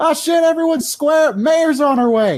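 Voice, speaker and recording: A man shouts in a put-on character voice at a moderate pace, his pitch extremely high. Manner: shouting.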